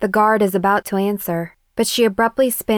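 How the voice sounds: The background is quiet throughout. A natural reading voice carries fairly even intonation.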